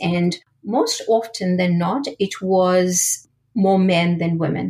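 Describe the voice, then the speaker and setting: A woman's somewhat breathy voice at medium pitch with fairly even intonation. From India. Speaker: product manager. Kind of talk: interview.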